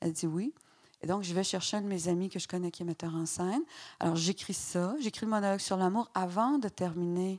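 Against a quiet background, a woman speaks at a fairly quick pace in a Quebec accent. Her voice is fairly low, with ordinary pitch variation. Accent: Québécois French. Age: 50s. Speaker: novelist; guest. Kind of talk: public author talk. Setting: stage with audience. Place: stage. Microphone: handheld.

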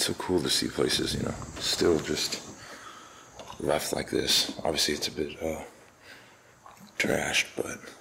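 Long, frequent pauses over light background noise. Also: man. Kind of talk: casual vlog commentary. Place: church. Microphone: phone near.

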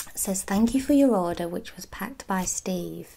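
Soft-spoken and relaxed in tone, a woman talks with lively intonation over light background noise. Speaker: ASMR creator. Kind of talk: ASMR unboxing video. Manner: soft-spoken, relaxed. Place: home room. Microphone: phone near.

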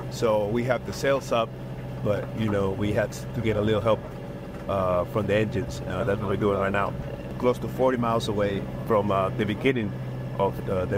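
At a moderate pace and with long, frequent pauses, a man speaks over noticeable background noise in a dry sound with no echo. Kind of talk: casual vlog chat. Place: boat. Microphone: phone near.

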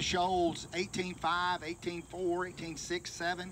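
Noticeable background noise sits behind a man speaking at a high pitch. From US South, Florence, Alabama; Alabama. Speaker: local historian giving a site tour; local history guide. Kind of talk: guided tour talk to a group. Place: open country. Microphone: handheld.

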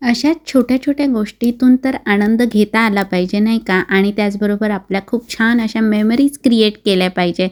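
An unremarkable speaking voice from a woman, fairly high-pitched, with ordinary pitch variation. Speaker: vlogger. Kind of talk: vlog narration.

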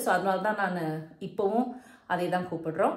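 A woman speaks with fairly even intonation. Room echo is audible. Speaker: interviewer. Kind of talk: interview questions to camera. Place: home room. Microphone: phone near.

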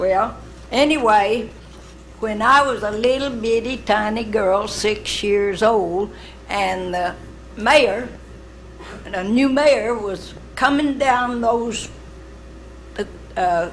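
A woman with an Arkansas accent talks very slowly in a fairly high voice, with ordinary pitch variation and long, frequent pauses, amid noticeable background noise and audible room echo. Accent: Southern US (Arkansas). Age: 80s+. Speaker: honored centennial family member. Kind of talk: ceremony remarks. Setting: city council meeting.

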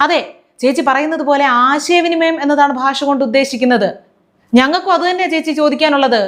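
Speaking at a high pitch, a woman keeps her loudness very even. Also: ordinary pitch variation. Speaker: political satire commentator. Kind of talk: sarcastic political commentary.

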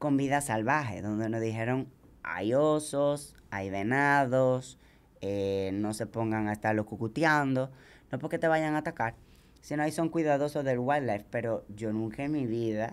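A woman's voice with ordinary pitch variation. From Dominican Republic (from age seven). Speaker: ultramarathon runner; podcast guest. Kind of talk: casual chat. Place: studio. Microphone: studio mic.

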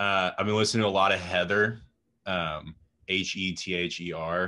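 A man with a low pitch and a raspy, bright, sharp tone speaks with little pitch movement. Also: moderate pace.

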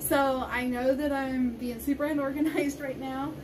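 Over noticeable background noise, a woman speaks at a high pitch and a fairly slow pace. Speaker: vlogger. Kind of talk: casual vlog chat. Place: home room. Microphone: phone near.

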